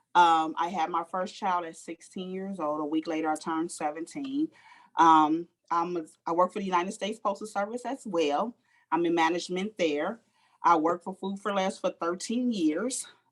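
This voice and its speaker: This woman has a plain, everyday voice, fairly low in pitch with ordinary variation and an American accent. She talks at a moderate pace in a dry, close sound with no echo. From Los Angeles, South Central. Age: 50s. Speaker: life coach and postal manager. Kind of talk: interview.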